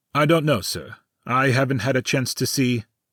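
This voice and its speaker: Putting on a growling character voice, a man talks at a moderate pace and a medium pitch. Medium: audio drama.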